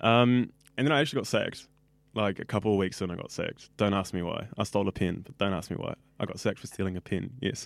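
Very fast and in a New Zealand accent, a man with a fairly low voice speaks with ordinary pitch variation and big swings in loudness on a very clean recording with a silent background. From New Zealand, West Auckland. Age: 20s. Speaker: radio student. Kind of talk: casual interview. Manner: animated.

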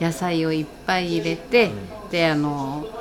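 Over noticeable background noise, a woman with a fairly low pitch speaks at a fairly slow pace. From Iwate, Japan (Nishine, foot of Mt. Iwate). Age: old. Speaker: sushi restaurant cook. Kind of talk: interview.

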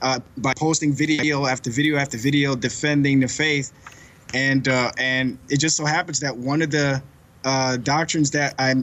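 Here a man is speaking at a moderate pace. His intonation stays fairly even. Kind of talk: radio interview. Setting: phone call. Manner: halting.

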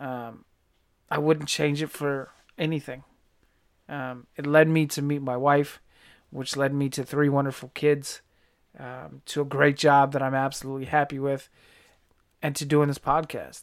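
An American accent at a moderate pace, monotone and flat, with long, frequent pauses on a very clean recording with a silent background. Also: man, fairly high pitch for a man. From Virginia, US. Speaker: podcast host and army veteran. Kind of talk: podcast intro monologue.

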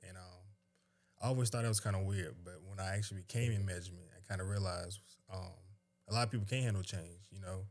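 A man with an American accent speaks at a very fast pace in a very deep, low voice that is somewhat breathy. His intonation is fairly even, while his loudness swings widely. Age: 20s. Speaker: retail manager. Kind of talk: casual chat.

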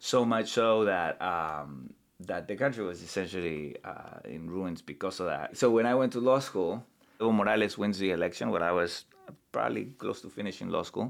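With a Spanish accent, a man speaks in a very deep, low pitch and lively intonation. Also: moderate pace. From Bolivia. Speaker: human rights lawyer and law professor. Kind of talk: casual interview conversation. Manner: halting, many fillers and repetitions.

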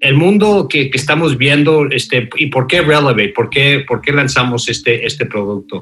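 In an English accent, the speaker keeps a moderate pace with hardly any pauses and ordinary pitch variation. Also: man, fairly high pitch for a man. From Mexico City. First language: English (speaking Spanish). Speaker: fintech founder and former CEO. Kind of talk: interview. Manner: halting, many fillers.

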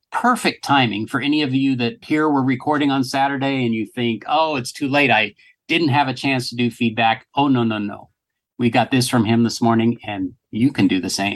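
A man speaks in a plain, everyday voice at a medium pitch, keeping a moderate pace and fairly even intonation. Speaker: podcast host. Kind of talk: casual podcast discussion.

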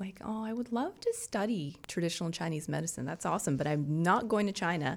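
A woman's fairly low-pitched voice. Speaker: traditional Chinese medicine practitioner. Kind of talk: casual chat. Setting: studio.

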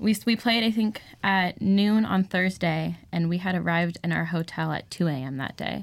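Fairly low for a woman, her normal speaking voice comes with an American accent, ordinary pitch variation, and a moderate pace. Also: hardly any pauses. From Southern California (Santa Clarita). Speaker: college softball club president. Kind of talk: casual interview chat.

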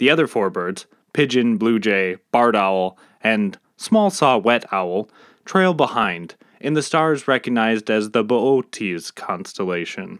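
A man with a normal speaking voice and medium pitch talks with lively intonation in a very clean recording with a silent background. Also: dry, close sound with no echo. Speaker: podcast host and storyteller. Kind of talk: mythic narration, storytelling. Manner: measured, vivid storyteller pacing; earnest, reflective.

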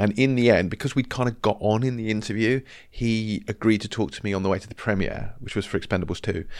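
A man with a normal speaking voice and fairly low pitch talks at a fairly quick pace with ordinary pitch variation, on a very clean recording with a silent background. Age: 40s. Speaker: film magazine editor. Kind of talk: casual interview.

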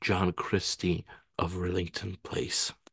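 Very slowly and somewhat breathily, a man speaks against a quiet background, the sound dry and close with no echo. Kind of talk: casual chat.

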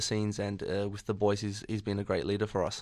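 A man with an Australian accent and a fairly low pitch, on a very clean recording with a silent background. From Australia, Sydney. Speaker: professional footballer. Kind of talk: radio interview.

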